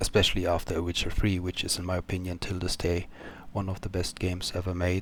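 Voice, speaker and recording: In a non-native accent, a man with a very deep, low pitch and a somewhat breathy voice speaks at a moderate pace on a very clean recording with a silent background. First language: not English. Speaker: gaming YouTuber. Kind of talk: casual commentary. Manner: hesitant, many fillers.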